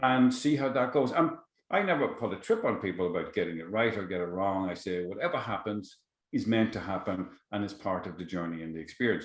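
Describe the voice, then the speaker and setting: A man with an Irish accent, lively intonation and a fairly quick pace, with audible room echo. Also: fairly low pitch for a man. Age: 60s. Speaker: psychotherapist and shamanic teacher. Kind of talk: podcast interview. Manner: halting.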